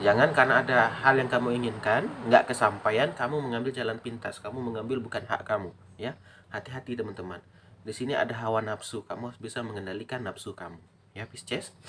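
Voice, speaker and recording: A man talks loudly at a very fast pace. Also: medium pitch for a man, fairly even intonation. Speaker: tarot reader. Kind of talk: tarot reading. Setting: at home.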